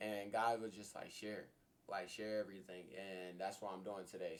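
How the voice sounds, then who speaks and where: At a moderate pace, a man speaks in a fairly low voice with fairly even intonation. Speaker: YouTuber. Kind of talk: personal testimony. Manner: loud.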